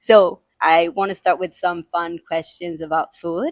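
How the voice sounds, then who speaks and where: A woman with a Spanish accent talks at a fairly slow pace in a dry, close sound with no echo. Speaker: podcast host. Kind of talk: casual interview.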